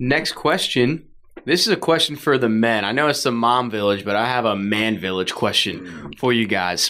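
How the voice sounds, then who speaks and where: Here a man with an unremarkable speaking voice goes at a moderate pace with ordinary pitch variation. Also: medium pitch for a man. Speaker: newlywed guest. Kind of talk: casual chat.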